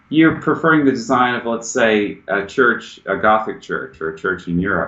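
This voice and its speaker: A man with a Southern US accent at a fairly slow pace. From US South. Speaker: American expat, businessman. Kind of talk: interview. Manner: casual, conversational.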